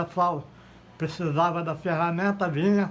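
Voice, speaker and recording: Monotone and flat, a man speaks at a high pitch. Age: 80s+. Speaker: retired factory worker. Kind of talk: interview.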